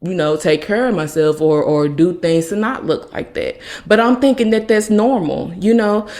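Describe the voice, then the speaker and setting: Speaking at a moderate pace, a woman uses lively intonation at a medium pitch, her tone dark and mellow. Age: 30s. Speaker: podcast host. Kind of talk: personal testimony.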